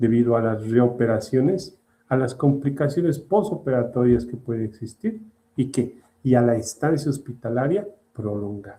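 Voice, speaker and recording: His dark, mellow tone is somewhat breathy, as this man speaks at a medium pitch with ordinary pitch variation. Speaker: surgery lecturer. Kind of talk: lecture. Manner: slow.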